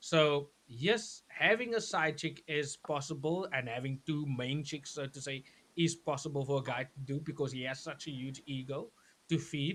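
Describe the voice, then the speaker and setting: A man speaks at a moderate pace in a fairly high voice, with ordinary pitch variation. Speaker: talk show co-host. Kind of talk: casual panel discussion.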